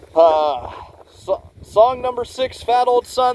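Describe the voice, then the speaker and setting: A man speaks loudly, his pitch swinging very widely. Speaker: music reviewer. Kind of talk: casual review monologue. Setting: outdoors. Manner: halting, many fillers.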